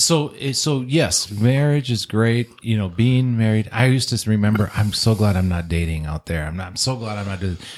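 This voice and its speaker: An unremarkable speaking voice of a man, fairly low in pitch with lively intonation, at a moderate pace with hardly any pauses. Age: 50s. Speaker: divorced father. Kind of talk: casual chat.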